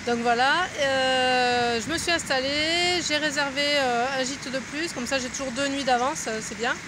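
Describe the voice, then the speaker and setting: With noticeable background noise but a dry sound and no echo, a woman speaks at a very slow pace in a high pitch, her tone relaxed and her intonation fairly even. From France. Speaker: pilgrim vlogger. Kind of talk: casual video diary. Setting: outdoors in a park by a fountain. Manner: relaxed, hesitant with many fillers. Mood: relaxed, cheerful. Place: garden. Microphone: phone near.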